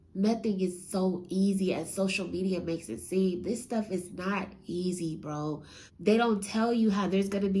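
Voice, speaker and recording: With hardly any pauses, a woman speaks at a fairly slow pace in a medium pitch with fairly even intonation, and room echo is audible. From US West Coast, San Francisco Bay Area. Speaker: real estate entrepreneur and motivational speaker. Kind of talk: motivational talk. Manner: casual.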